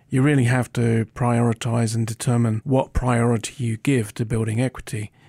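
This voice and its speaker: A man's somewhat breathy voice, dark and mellow in tone, with a medium pitch and fairly even intonation, dry and close with no echo on a very clean recording with a silent background. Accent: British. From Britain. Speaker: podcast co-host. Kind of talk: interview-style discussion.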